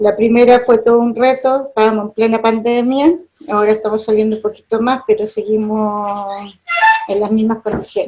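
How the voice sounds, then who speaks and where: With music in the background, a woman with a Chilean accent speaks fairly high-pitched at a moderate pace with fairly even intonation. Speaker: university lecturer. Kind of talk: lecture. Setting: video call.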